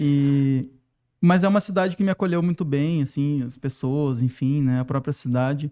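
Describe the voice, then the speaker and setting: A man's dark, mellow voice with a southern Brazilian accent, fairly high in pitch, fairly slow and fairly even in intonation, on a very clean recording with a silent background. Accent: gaúcho. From southern Brazil, Porto Alegre. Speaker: design professor and consultant. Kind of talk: podcast interview.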